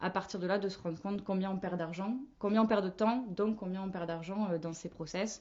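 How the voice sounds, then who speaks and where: This woman speaks in a normal speaking voice at a medium pitch. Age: 20s. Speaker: marketing manager. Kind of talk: podcast interview.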